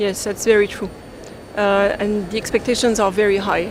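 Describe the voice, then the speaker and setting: A woman speaks in a French accent with monotone, flat intonation. Noticeable background noise is present. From France. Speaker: international development finance expert. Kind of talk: panel discussion.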